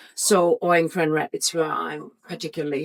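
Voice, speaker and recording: Speaking at a moderate pace, a woman with a German accent has a fairly low pitch. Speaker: real estate agent. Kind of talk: interview. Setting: on location at an event.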